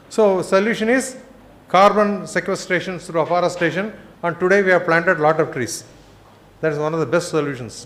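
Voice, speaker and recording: Over audible room echo, a man with a high pitch and ordinary pitch variation speaks at a fairly quick pace. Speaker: conference speaker on climate science. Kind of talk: lecture. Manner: fast.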